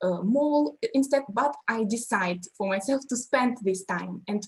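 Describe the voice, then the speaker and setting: With a Russian accent, a woman speaks at a fairly high pitch in a somewhat breathy voice. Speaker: language teacher. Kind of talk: panel discussion. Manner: halting.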